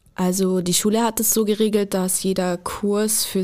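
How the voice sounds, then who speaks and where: At a moderate pace, a woman speaks at medium pitch with an unremarkable speaking voice. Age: 20s. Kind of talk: podcast interview.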